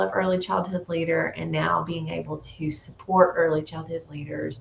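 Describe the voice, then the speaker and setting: The pace is moderate. Room echo can be heard. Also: woman. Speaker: early childhood e-learning specialist. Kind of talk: conference presentation. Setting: home office, online presentation.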